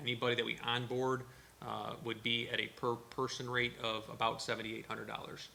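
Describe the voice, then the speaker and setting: Over noticeable background noise, a man talks at a fairly quick pace with a medium pitch and a monotone, flat intonation. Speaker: town official presenting to board. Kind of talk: presentation at board workshop. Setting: town board meeting. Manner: fast.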